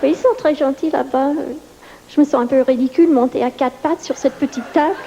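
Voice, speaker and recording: Over noticeable background noise, a woman talks at a fairly quick pace in a high pitch with fairly even intonation. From New York. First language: English (speaking French). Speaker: stand-up comedian. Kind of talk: stand-up. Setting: stage with audience.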